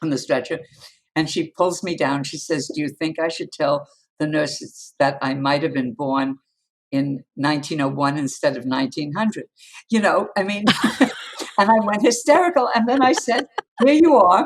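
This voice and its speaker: A woman with a New York accent uses a very deep, low pitch with very wide pitch swings, leaving long, frequent pauses. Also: moderate pace. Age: 80s+. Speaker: communications coach. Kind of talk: interview answer.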